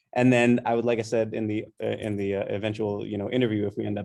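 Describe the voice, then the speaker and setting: This man talks at a very fast pace in a flat monotone, his fairly low voice dark and mellow, on a very clean recording with a silent background. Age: young. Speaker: poet. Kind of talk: interview.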